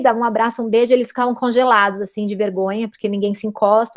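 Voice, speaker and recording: A woman's fairly high pitch and fairly even intonation in a normal speaking voice. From São Paulo, Brazil. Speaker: physicist. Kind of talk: interview.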